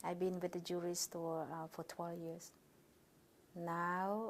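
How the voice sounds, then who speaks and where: A woman speaks at a fairly slow pace in a fairly low pitch. Her intonation stays monotone and flat. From Cambodia, Vietnamese-born. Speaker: refugee interviewee. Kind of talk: oral history interview. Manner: halting.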